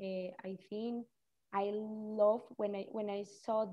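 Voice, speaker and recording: In a Spanish accent, a woman talks at a medium pitch with monotone, flat intonation. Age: young. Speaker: cliff diver. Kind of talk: interview. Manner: halting.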